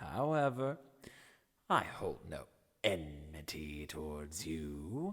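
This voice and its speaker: A man in a put-on character voice. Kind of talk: audiobook character reading. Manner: mocking, condescending.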